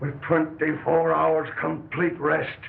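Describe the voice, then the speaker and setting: A man's raspy, put-on character voice, fairly high in pitch, at a fairly slow pace over clear background noise. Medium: short film.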